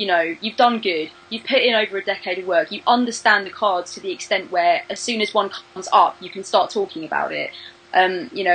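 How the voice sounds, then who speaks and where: A woman with a British accent talks at a fairly quick pace with hardly any pauses, lively intonation and big swings in loudness. Noticeable background noise is present. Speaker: tarot reader and video creator. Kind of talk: interview. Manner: fast; animated.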